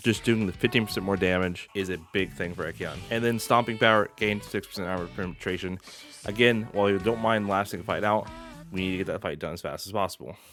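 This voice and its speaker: Music plays in the background as the words rush out at a very fast pace with fairly even intonation. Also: man, fairly low pitch for a man. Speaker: game streamer. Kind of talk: game guide voice-over.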